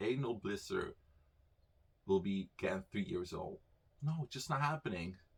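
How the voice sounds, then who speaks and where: A man's voice at medium pitch with very wide pitch swings. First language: Dutch. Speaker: YouTuber. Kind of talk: personal storytelling. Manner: casual, halting with fillers.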